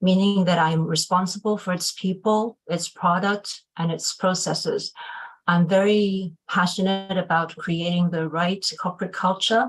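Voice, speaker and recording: The delivery is fairly slow and somewhat breathy, with intonation that stays monotone and flat. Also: woman, medium pitch for a woman. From Hong Kong and UK. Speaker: HR executive and webinar moderator. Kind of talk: panel webinar introduction. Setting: video webinar.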